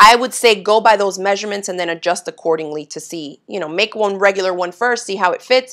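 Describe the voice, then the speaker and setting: Against a quiet background, a woman talks at a very fast pace with ordinary pitch variation. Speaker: sewing instructor. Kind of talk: live sewing tutorial. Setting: home sewing studio livestream. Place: home room.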